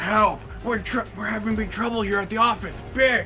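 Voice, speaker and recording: A put-on character voice is raised and projected at a moderate pace. Clear background noise is audible. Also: man, high pitch for a man. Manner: mimicking, put-on.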